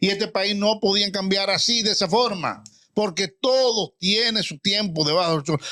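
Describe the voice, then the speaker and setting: With a raised, projected voice, a man speaks at a moderate pace in a high, bright, sharp tone that is animated, his intonation lively, on a very clean recording with a silent background and a dry, close sound with no echo. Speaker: retired general, political commentator. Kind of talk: heated debate.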